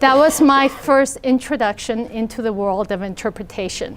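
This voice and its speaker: In a Spanish accent, a woman talks at a moderate pace. Her pitch is high, with ordinary variation. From Idaho. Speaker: entrepreneur, translation company founder. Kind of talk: talk to students.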